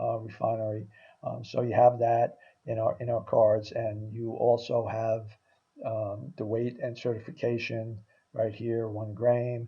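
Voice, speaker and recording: The man's voice sits at a medium pitch and is somewhat breathy. He talks at a fairly slow pace in a monotone, flat way. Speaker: sales presenter. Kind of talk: sales pitch. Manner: halting with many fillers.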